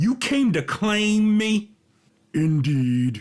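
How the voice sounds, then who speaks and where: This man uses a put-on character voice pitched high, with very wide pitch swings. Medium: read story. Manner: calm, formal, measured.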